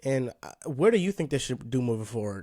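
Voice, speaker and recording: A man speaks in an unremarkable speaking voice at a medium pitch, with lively intonation. The recording is very clean, with a silent background. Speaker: podcast host, basketball fan. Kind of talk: casual podcast conversation about basketball.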